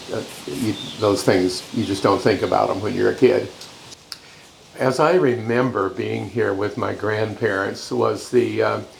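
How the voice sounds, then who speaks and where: Amid noticeable background noise and audible room echo, a man with an American accent talks at a fairly slow pace. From Washington state, Yakima Valley. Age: 80s+. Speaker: interviewee recalling family farm. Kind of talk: interview reminiscence. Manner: halting, many fillers.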